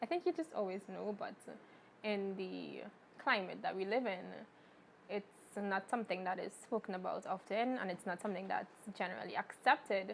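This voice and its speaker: With vocal fry, a woman talks at a medium pitch and a moderate pace, using ordinary pitch variation and long, frequent pauses. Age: 20s. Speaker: LGBT activist. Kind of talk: interview testimony.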